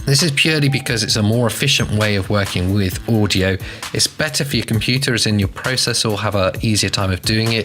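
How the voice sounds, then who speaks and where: Music plays behind a man talking at a very fast pace in a fairly low pitch. His loudness stays very even. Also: ordinary pitch variation. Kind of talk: software tutorial narration.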